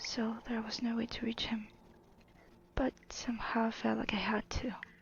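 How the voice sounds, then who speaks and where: Someone is whispering in a soft-spoken way, with noticeable background noise behind them. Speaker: storyteller. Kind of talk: reading aloud.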